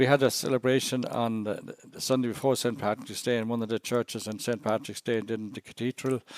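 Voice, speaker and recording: A man with an Irish accent speaks at a very fast pace, his pitch medium and his intonation fairly even. The recording is very clean, with a silent background. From Ireland (Cashel, Co. Tipperary). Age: 70s. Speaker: missionary priest. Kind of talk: podcast interview. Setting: podcast. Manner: halting, many restarts.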